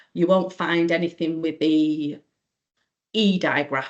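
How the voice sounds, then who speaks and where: Against a quiet background, a woman with a fairly low pitch speaks very slowly and with fairly even intonation. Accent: English. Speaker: teacher. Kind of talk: online training presentation.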